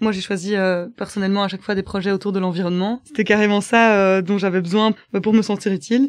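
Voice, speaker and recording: A woman talks at a very fast pace with hardly any pauses. Her intonation is fairly even against a quiet background. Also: medium pitch for a woman. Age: 20s. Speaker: volunteer. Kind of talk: personal testimony. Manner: hesitant, many filler sounds.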